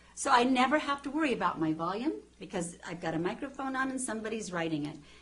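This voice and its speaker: A woman talks very fast and loud, her fairly high pitch swinging very widely. Room echo is audible, and background noise is noticeable. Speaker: TV journalist and author. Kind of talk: interview. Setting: TV studio.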